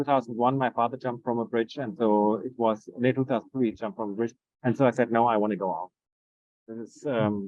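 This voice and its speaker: A man's medium-pitched voice with a German accent, very fast in pace, with fairly even intonation. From Germany. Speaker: Montessori educator. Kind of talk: interview conversation. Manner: halting.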